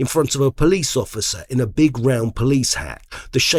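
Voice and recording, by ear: The reader uses a natural voice, and the pitch varies in an ordinary way.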